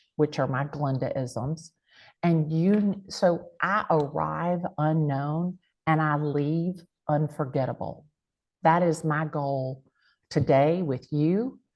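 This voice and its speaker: A woman speaks with an American accent at a very slow pace. Her pitch is very deep and low, with ordinary pitch variation. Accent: big country. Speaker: real estate agent and content creator. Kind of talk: panel interview. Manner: animated.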